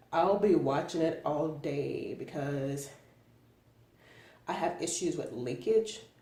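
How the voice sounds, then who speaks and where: A woman speaks at a very slow pace with ordinary pitch variation, and audible room echo surrounds her voice. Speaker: product reviewer vlogger. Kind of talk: casual vlog. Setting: in a car. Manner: casual, filler-heavy.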